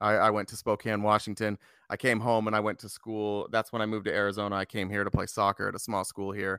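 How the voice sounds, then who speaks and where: A man with an American accent talks very fast in a bright, sharp, monotone voice. The sound is dry and close with no echo, very clean against a silent background. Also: fairly low pitch for a man. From Utah. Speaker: podcast guest, former Republican now Democrat. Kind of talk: political discussion. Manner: hesitant, many fillers and restarts.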